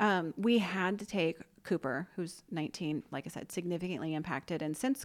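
A woman speaks with a fairly low pitch. Her voice has vocal fry. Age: 40s. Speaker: nonprofit founder. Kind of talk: interview.

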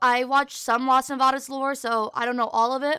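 A woman speaks in a raised, projected voice with a high pitch. Her tone is bright and sharp, and her intonation fairly even. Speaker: podcast host and streamer. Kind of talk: casual solo chat. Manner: fast talker when nervous; casual, filler-heavy.

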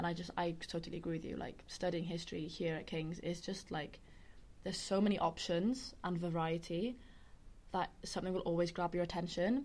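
A woman speaks with a Welsh accent at a fairly low pitch. Her pace is fairly quick and her intonation fairly even. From West Wales, Carmarthen. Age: 20s. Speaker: student podcast host. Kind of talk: casual chat.

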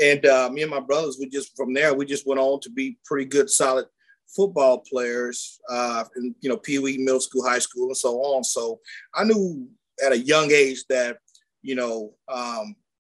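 Here a man has an unremarkable speaking voice at medium pitch. He keeps a moderate pace with ordinary pitch variation. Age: 40s. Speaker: former college athlete turned entrepreneur. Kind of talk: casual interview.

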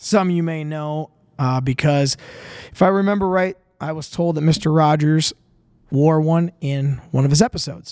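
A man speaks at a moderate pace with an Upper Midwest accent. His pitch is fairly high, and his intonation stays fairly even. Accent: Upper Midwest (Minnesota). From Minnesota, Winona. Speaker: podcast host. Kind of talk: casual solo monologue. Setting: home studio, drinking beer on camera.

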